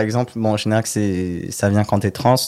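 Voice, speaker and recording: A man speaks in a normal speaking voice at a fairly slow pace, with ordinary pitch variation, on a very clean recording with a silent background. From southern France (near Marseille). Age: 20s. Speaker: model. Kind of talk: casual interview.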